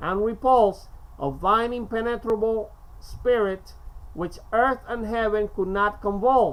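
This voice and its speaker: Speech comes at a fairly slow pace. It carries a Spanish accent. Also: woman. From Cuba. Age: 50s. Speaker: amateur poetry reader. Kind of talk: casual monologue; reading aloud. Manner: halting.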